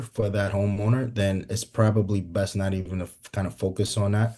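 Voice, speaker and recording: A man's fairly low, somewhat breathy voice with a dark, mellow tone, at a moderate pace against a quiet background. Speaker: solar sales trainer. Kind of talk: training session. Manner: halting, many fillers.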